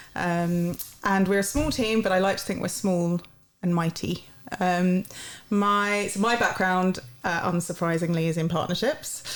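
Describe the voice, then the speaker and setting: A London accent at a moderate pace, with ordinary pitch variation and very even loudness. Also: woman, medium pitch for a woman. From London, England. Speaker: university partnerships head. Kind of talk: podcast interview. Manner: hesitant, many fillers.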